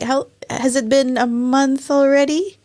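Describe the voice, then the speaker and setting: With a Filipino accent, a woman speaks at a high pitch and a fairly slow pace. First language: Tagalog. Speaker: show host. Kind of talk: casual interview.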